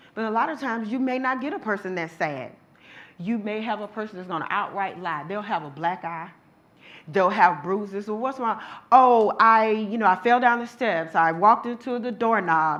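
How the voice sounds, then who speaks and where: Speaking at a moderate pace with an animated tone and lively intonation, a woman with a fairly high pitch swings widely in loudness amid audible room echo. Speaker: domestic violence survivor and advocate speaker. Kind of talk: lecture.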